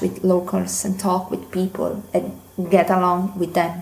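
Speaking at a moderate pace, a woman with an Italian accent keeps to a medium pitch. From Italy. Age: 20s. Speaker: language student, listener. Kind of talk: recorded listener question.

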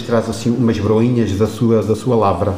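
Noticeable background noise and audible echo from the room accompany speech delivered at a moderate pace. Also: man. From Portugal, Torres Novas. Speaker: retired teacher, singing instructor. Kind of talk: interview.

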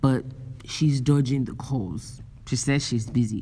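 A woman with a Nigerian accent speaks in a very deep, low pitch at a fairly slow pace. Her tone is animated, with ordinary pitch variation. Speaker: podcaster and university student. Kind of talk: casual solo podcast on relationships. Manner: animated, laughs often.

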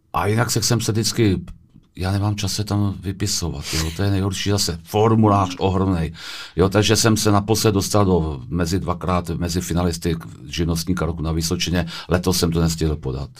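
Fairly quick and fairly even in intonation, a man talks in a very deep, low pitch. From Czech Republic, Vysočina (Telč). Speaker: small business owner. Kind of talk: interview answers. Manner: halting.

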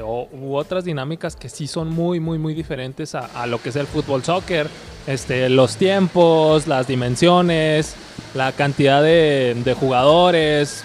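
The speaker talks at a very slow pace with ordinary pitch variation. Noticeable background noise runs underneath. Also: man. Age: 30s. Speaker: futsal player. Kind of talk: interview. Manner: halting, many repetitions.

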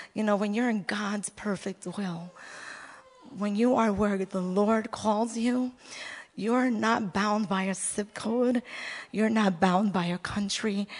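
Noticeable background noise sits behind the voice. Delivery is very slow with fairly even intonation and long, frequent pauses. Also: woman. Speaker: pastor's wife. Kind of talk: sermon.

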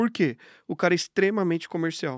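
Recorded very cleanly against a silent background, a man speaks in a high pitch, the sound dry and close with no echo. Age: 30s. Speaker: business owner. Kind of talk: casual interview.

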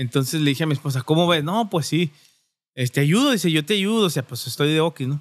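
A man's fairly high voice at a very fast pace, with ordinary pitch variation, in a very clean, dry, close recording with a silent background and no echo. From Durango, Mexico. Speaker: barbershop owner. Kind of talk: casual chat.

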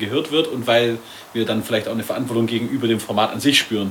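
Very fast speech from a man, with noticeable background noise throughout. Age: 20s. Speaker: podcast co-host, filmmaker. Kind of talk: casual chat. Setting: studio.

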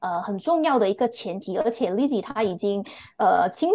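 A woman's dark, mellow tone moves through very wide pitch swings. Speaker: book club member. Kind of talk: casual chat. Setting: remote call. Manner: sharp.

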